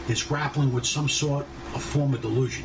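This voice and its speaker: There is noticeable background noise. Over it, a man speaks at a fairly high pitch. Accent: New York. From New York City, Brooklyn. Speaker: podcast host. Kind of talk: opinion monologue.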